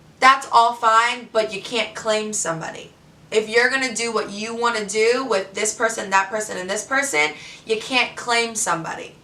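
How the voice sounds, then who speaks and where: Over noticeable background noise, a woman with a fairly high pitch speaks in an animated tone at a moderate pace. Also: ordinary pitch variation. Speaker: reality TV contestant. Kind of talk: vlog monologue. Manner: loud.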